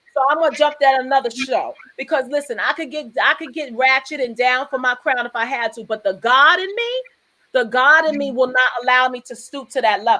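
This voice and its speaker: In a raised, projected voice, a woman talks fairly quickly with an animated tone, her high pitch bright and sharp and varying in an ordinary way. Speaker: live show host and fitness competitor. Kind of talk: casual chat. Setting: live video stream.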